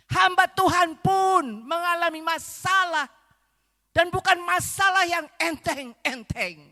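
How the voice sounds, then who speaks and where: Very slowly and in a raised, projected voice, a woman speaks at an extremely high pitch with a bright, sharp tone and ordinary pitch variation. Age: 70s. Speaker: visiting preacher. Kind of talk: sermon. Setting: church service.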